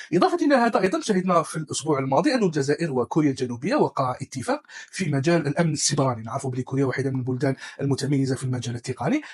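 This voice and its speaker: A man with a fairly high voice talks at a very fast pace with hardly any pauses and ordinary pitch variation, over noticeable background noise. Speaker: tech news presenter. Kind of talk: news roundup, casual dialect.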